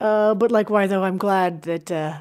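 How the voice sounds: A woman speaks at a medium pitch with ordinary pitch variation. Her tone is clear and smooth, slightly mellow. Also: fairly slow pace.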